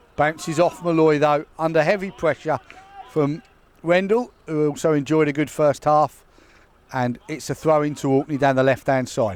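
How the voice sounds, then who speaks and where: Through noticeable background noise, a man speaks at fairly high pitch and a moderate pace with ordinary pitch variation. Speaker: football commentator. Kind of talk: live commentary. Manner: loud.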